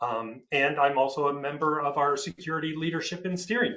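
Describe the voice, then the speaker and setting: An unremarkable speaking voice, this man's is fairly high in pitch, with an American accent and a moderate pace. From United States. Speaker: IT security executive. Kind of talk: panel discussion.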